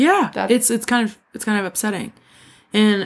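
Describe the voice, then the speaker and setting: A woman's medium-pitched voice, very fast and fairly even in intonation, in a very clean recording with a silent background. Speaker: podcast co-host. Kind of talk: casual chat, recap podcast. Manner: jokey, laughs a lot.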